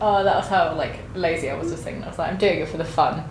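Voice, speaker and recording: Over noticeable background noise and audible room echo, a woman with a southern English accent talks at a very fast pace. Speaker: vlogger. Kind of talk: casual chat. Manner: loud.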